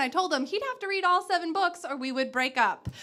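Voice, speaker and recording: A woman's raised, projected voice has a bright, sharp tone and very wide pitch swings. She speaks at a fairly quick pace. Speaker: spoken word poet. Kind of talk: spoken word poetry performance.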